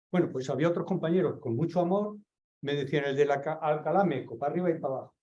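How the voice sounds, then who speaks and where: Talking at a very fast pace, a man uses a fairly high pitch with ordinary variation. His tone is dark and mellow. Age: 60s. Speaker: seminar participant. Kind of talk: group discussion.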